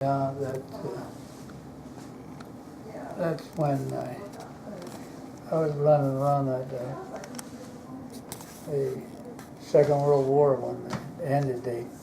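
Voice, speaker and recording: A man with an American accent speaks very slowly at a medium pitch, with long, frequent pauses. His intonation is monotone and flat, and there is noticeable background noise. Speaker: war veteran. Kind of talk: interview answer. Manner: hesitant, halting.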